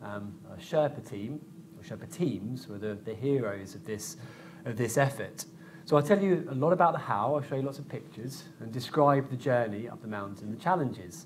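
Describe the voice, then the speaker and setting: A man at a moderate pace with lively intonation and big swings in loudness, over light background noise. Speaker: guest lecturer. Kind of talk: lecture. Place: hall. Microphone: podium.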